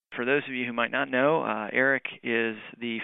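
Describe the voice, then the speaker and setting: A man with an unremarkable speaking voice talks at a moderate pace and medium pitch, with ordinary pitch variation. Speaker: podcast host. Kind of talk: interview.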